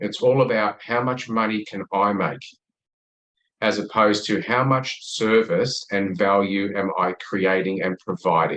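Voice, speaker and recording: Speaking at a fairly slow pace, a man talks with an Australian accent. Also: fairly low pitch for a man, ordinary pitch variation. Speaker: sales expert. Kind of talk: podcast interview.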